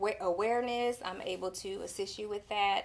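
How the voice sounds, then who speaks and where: The woman's voice is fairly high, with fairly even intonation. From Texas, Houston. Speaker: real estate agent. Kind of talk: casual interview.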